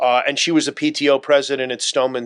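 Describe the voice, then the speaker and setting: A man with an American accent and a normal speaking voice talks at a fairly quick pace with fairly even intonation, the sound dry and close with no echo. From South Florida (Broward County). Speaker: local politician. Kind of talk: interview.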